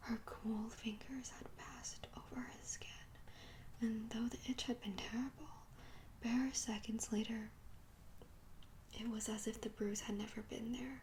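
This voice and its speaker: Amid noticeable background noise, a person whispers fairly slowly. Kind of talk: ASMR audiobook reading. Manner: whispered, soft-spoken.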